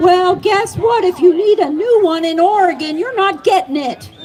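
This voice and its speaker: Over noticeable background noise, a woman with a Southern US accent speaks at a moderate pace and an extremely high pitch. Her tone is animated and her intonation lively. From US South, North Carolina. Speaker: cannabis advocate. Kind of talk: public speech. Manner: animated, rousing.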